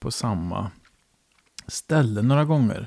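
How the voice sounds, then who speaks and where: A man speaks at a fairly slow pace in a medium pitch with ordinary pitch variation and a dark, mellow tone. The sound is dry and close, with no echo. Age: 50s. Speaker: podcast host. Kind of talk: casual interview. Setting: home kitchen.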